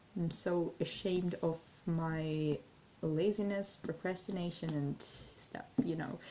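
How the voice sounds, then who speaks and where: A woman with a Russian accent, fairly low-pitched and dark, mellow in tone, at a very slow pace with fairly even intonation. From Ukraine, Kyiv. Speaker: language learning vlogger. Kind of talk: casual vlog monologue. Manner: halting, many fillers and self-corrections.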